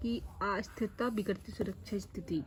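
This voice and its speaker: Somewhat breathy and fairly high-pitched, a woman speaks at a very slow pace. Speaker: educational YouTuber. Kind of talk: tutorial.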